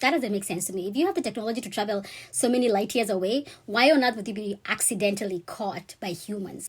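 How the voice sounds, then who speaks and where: Speaking at a very fast pace, a woman uses ordinary pitch variation in a somewhat breathy voice. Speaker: vlogger sharing personal experience. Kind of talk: personal storytelling monologue. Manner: casual, conversational.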